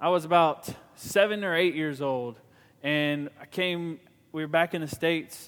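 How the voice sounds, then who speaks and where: Speaking at a fairly slow pace, a man with a fairly high voice shows ordinary pitch variation. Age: 30s. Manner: rambling, halting.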